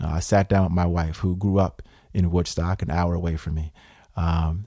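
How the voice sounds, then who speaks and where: On a very clean recording with a silent background, a man speaks in a very deep, low pitch with a dark, mellow tone and fairly even intonation. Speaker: congressional candidate. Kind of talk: interview at a small town hall. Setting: town hall with audience. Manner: fluent, frequent fillers.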